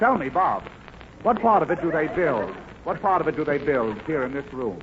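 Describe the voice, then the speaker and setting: Against noticeable background noise, a man speaks at a moderate pace with a fairly high pitch and very wide pitch swings. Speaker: guest star actor. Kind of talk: radio comedy sketch. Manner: prim, fussy, flustered, comedic.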